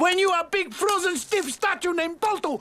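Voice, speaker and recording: This is a put-on character voice at an extremely high pitch. It moves along at a moderate pace. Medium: voice reel. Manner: dry, joking.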